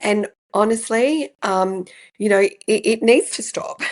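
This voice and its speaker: A woman with an Australian accent speaks with ordinary pitch variation against a quiet background. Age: 60s. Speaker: podcast host and business coach. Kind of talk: podcast interview.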